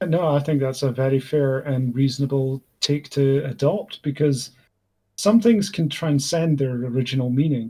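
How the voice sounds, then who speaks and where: A man's fairly high, dark, mellow voice, somewhat breathy, at a moderate pace with ordinary pitch variation. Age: 20s. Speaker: gaming streamer. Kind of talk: casual chat. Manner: halting, many fillers.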